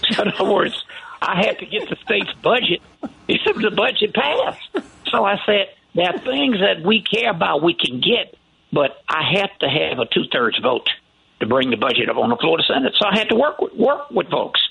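Over noticeable background noise, a man with an American accent speaks at a moderate pace in a high pitch, his pitch swinging very widely while his loudness stays very even. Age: 60s. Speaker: county commissioner and politician. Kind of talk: radio interview.

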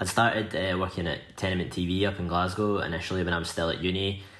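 Speaking at a fairly quick pace, a man with a west of Scotland accent uses a very deep, low pitch in a monotone, flat intonation. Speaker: magazine editor and music journalist. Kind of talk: casual interview chat.

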